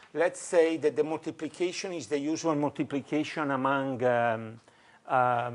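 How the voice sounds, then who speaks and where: The man's voice sits fairly high, with ordinary pitch variation. He speaks at a fairly slow pace. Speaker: professor. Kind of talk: lecture. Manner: halting, many fillers.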